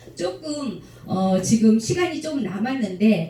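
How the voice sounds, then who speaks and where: Through audible room echo and noticeable background noise, a woman at a medium pitch talks at a very slow pace with very wide pitch swings. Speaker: lecturer at club officers' training. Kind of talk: lecture Q&A with audience.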